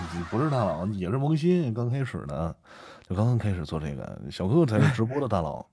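A voice with a dark, mellow tone moves at a fairly quick pace through very wide pitch swings. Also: man, fairly low pitch for a man. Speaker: amateur audiobook narrator. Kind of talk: casual chat. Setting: live stream co-host call.

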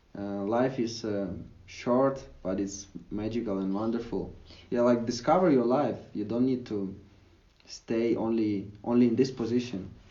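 At a fairly slow pace, a man speaks with medium pitch and ordinary pitch variation. Audible room echo fills the recording. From Ukraine. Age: young. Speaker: digital nomad and language educator. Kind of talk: interview conversation. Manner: hesitant, frequent fillers.

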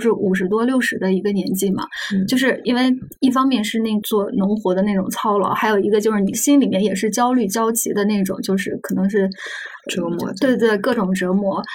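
A woman has a plain, everyday voice with fairly high pitch. Her pitch variation is ordinary and her pace fairly quick. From northern Anhui, near Xuzhou. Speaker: magazine journalist. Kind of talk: podcast interview conversation.

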